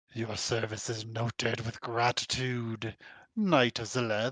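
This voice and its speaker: A man performs a put-on character voice at a medium pitch. He keeps a fairly slow pace. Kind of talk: formal, ceremonial. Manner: pompous.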